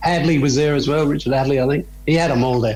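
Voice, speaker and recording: Fairly high-pitched man with an Australian accent and ordinary pitch variation, music in the background. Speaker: former cricketer. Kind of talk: interview answer. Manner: casual, storytelling.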